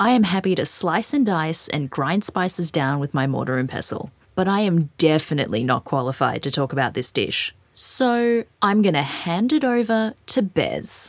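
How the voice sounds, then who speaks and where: Woman with an Australian accent, fairly low in pitch, at a moderate pace with very wide pitch swings. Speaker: food podcast host. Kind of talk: casual chat and narration. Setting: home kitchen. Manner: animated.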